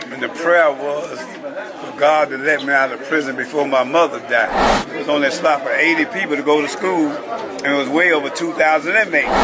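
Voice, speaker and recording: A man at a fairly high pitch speaks at a fairly quick pace with hardly any pauses and ordinary pitch variation. Noticeable background noise and audible room echo accompany him. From Chicago west side. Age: 70s. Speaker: former gang leader turned community activist. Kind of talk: interview storytelling.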